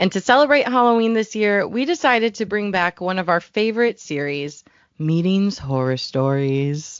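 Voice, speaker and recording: The speaker talks at a moderate pace with very wide pitch swings. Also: woman, medium pitch for a woman. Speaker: content developer. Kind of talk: podcast co-host reading and reacting to stories. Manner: casual, conversational.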